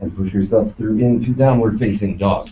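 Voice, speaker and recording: A man talks at a fairly slow pace. His pitch sits fairly low. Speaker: yoga teacher trainee. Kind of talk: yoga class instruction. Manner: loud; commanding.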